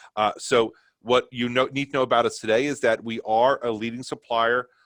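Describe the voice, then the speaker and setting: A man with a New York accent at a fairly quick pace, ordinary pitch variation, dry close sound without echo. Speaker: company sales presenter. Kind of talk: product webinar presentation. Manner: fast.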